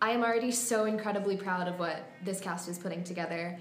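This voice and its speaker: A woman speaks with ordinary pitch variation, her voice carrying audible room echo over noticeable background noise. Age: young. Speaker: college student and actress. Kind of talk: interview.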